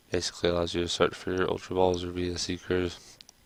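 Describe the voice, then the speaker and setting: A man's very deep, low voice in a monotone, flat delivery at a moderate pace, with noticeable background noise. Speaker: gamer, card game streamer. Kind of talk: casual talk to camera, gameplay commentary. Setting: home recording, ASMR-style video. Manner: soft-spoken, relaxed.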